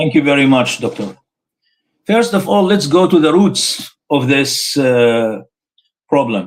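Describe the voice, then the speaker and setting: Speaking with an Arabic accent, a man uses a fairly high pitch with very wide swings, going at a fairly slow pace with long, frequent pauses. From Syria, Homs. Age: 60s. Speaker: Islamic scholar, professor. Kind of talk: live interview. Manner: halting, many fillers.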